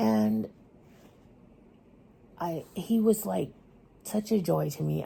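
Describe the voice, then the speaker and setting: A woman speaks with a very deep, low pitch, vocal fry and a dark, mellow tone. Her pitch swings very widely. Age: 50s. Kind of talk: casual talk to camera.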